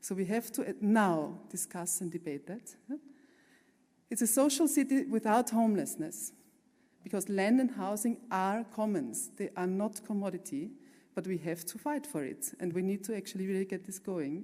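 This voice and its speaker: A woman speaks with lively intonation. Her medium-pitched voice has a dark, mellow tone. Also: moderate pace. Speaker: architect and urban planner. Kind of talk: conference talk with slides. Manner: passionate; halting with fillers.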